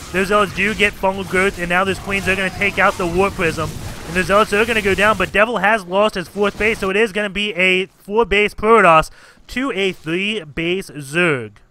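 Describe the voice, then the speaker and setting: A moderate pace amid noticeable background noise. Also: man, high pitch for a man. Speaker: game caster. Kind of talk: esports game commentary.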